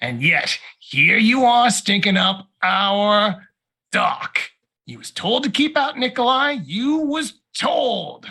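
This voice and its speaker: A man shouts in a put-on character voice, pitched extremely high. He speaks at a very slow pace. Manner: spitting, shouting rant; scornful.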